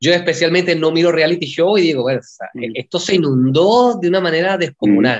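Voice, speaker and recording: High-pitched male voice, very fast with hardly any pauses and lively intonation. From Venezuela. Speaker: film director. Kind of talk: interview.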